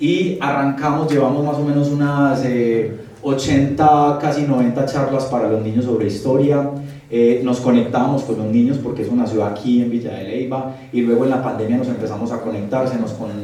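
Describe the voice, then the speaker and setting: A man with a Bogotá accent speaks at a moderate pace and medium pitch, with fairly even intonation. Audible room echo and noticeable background noise are present. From Colombia, Medellín (paisa). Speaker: architect and history lecturer. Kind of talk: lecture. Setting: live audience at a talk.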